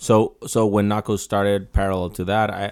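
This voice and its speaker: Talking at a moderate pace, a man speaks with a Mexican accent. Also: very clean recording, silent background. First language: Spanish. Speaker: designer and clothing brand founder. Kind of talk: casual chat. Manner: halting, with many repetitions.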